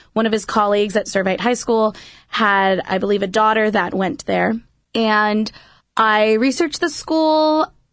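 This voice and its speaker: Using a normal speaking voice, a woman talks at a fairly slow pace with a fairly high pitch, ordinary pitch variation and very even loudness. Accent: American. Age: 20s. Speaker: youth minister. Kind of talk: radio interview. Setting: studio.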